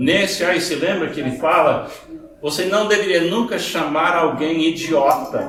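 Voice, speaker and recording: A man's high-pitched voice with lively intonation at a very slow pace, with audible room echo and noticeable background noise. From Scottish and Irish background. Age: 70s. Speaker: pastor. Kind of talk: sermon. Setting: church.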